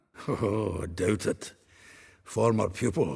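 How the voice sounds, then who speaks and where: Using a put-on character voice, a man sounds raspy with a fairly low pitch. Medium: video game. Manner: chuckling, earthy.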